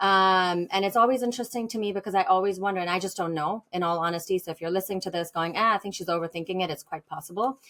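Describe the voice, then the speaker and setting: A woman with an American accent talks very fast with hardly any pauses, at a medium pitch and with fairly even intonation. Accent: Indian accent, now sounds largely American. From India. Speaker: business owner. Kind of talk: podcast interview. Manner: halting, many fillers.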